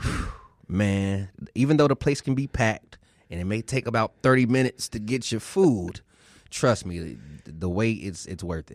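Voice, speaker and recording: With an American accent, a man speaks in a plain, everyday voice at a moderate pace, his pitch fairly low, his intonation lively and his loudness swinging widely, all in a dry, close sound with no echo. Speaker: radio host.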